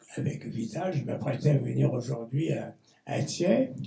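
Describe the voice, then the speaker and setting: A man speaks at a very slow pace. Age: 90s. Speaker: speaker at a poetry tribute. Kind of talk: tribute speech. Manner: halting, with many hesitations.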